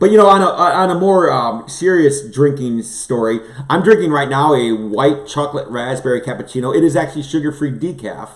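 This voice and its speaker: Over noticeable background noise, a man with a fairly high voice talks at a fairly quick pace in an animated tone. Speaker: livestream host, former pastor. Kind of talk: casual chat. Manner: fast.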